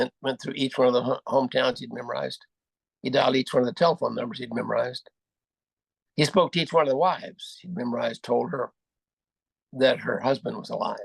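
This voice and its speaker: Talking at a very fast pace, a man leaves long, frequent pauses. The sound is dry and close, with no echo. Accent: American. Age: 80s+. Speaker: war veteran. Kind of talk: motivational speech. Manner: halting.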